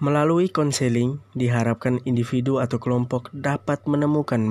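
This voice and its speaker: Fairly even intonation and a dark, mellow tone from a man, at a moderate pace. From Indonesia, Ende, Flores (East Nusa Tenggara). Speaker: university student. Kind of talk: class presentation. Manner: formal.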